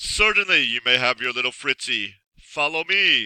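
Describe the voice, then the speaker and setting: A man growls through a put-on character voice at a fairly high pitch, his pitch swinging very widely. He keeps a moderate pace, and the sound is dry and close with no echo. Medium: read story. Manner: menacing, theatrical.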